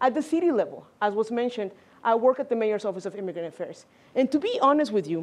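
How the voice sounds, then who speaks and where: A woman in a Spanish accent talks at a very fast pace. Her fairly high pitch moves in lively intonation. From Mexico. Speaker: congressional district director, immigrant advocate. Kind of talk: panel discussion.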